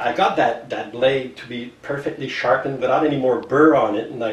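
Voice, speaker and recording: Someone with a French accent speaks at a moderate pace, with audible room echo and noticeable background noise. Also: man. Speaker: bookbinder and leather craftsman. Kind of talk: tutorial. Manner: halting, with fillers and restarts.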